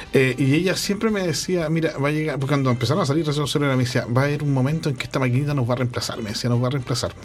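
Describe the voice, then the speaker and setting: Very fast speech with hardly any pauses and ordinary pitch variation, over noticeable background noise. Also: man, fairly high pitch for a man. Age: 50s. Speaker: radio co-host. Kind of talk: casual chat interview. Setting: radio studio with streaming.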